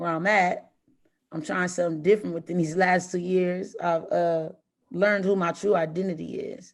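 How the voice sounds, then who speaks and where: A woman speaks with a fairly low pitch and fairly even intonation. The recording is very clean with a silent background. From Los Angeles, US. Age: 30s. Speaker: formerly incarcerated woman. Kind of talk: podcast interview, personal story.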